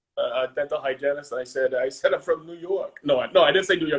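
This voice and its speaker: Very fast speech from a man, pitch moving in an ordinary way. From Maine. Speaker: tool company representative. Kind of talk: casual chat.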